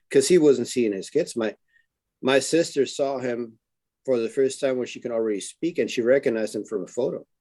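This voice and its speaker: Talking at a fairly quick pace, a man with a dark, mellow tone keeps a medium pitch and ordinary pitch variation. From Germany (Neuss, near Dusseldorf), Spanish parents. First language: German (also Spanish). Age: 50s. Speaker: reality survival show contestant, former soldier and bodyguard. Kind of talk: interview.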